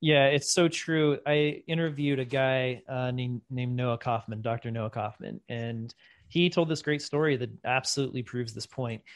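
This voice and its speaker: A plain, everyday voice is heard here. Its pitch varies in an ordinary way, and the pace is moderate. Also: man, medium pitch for a man. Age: 40s. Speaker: bitcoin educator and podcast host. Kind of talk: casual interview.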